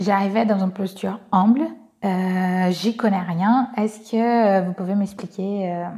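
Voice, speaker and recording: A woman speaks very slowly at a medium pitch with fairly even intonation. Noticeable background noise can be heard. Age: 20s. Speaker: social entrepreneur. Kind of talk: testimony. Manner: hesitant, many fillers.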